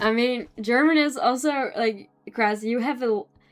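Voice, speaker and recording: A woman with a Dutch accent. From Netherlands. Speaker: artist streamer. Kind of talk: casual live stream chat while drawing. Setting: live stream at home.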